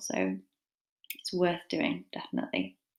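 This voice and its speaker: A woman speaks with a British accent. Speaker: English literature tutor. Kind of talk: lecture. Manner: fast; casual, rambling with fillers.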